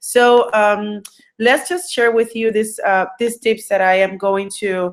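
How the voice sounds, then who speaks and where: A woman talks at a very slow pace, her pitch fairly high. She speaks with a Puerto Rican accent. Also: ordinary pitch variation. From Puerto Rico. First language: Spanish. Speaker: entrepreneur and business coach. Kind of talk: online webinar presentation. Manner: halting, many fillers.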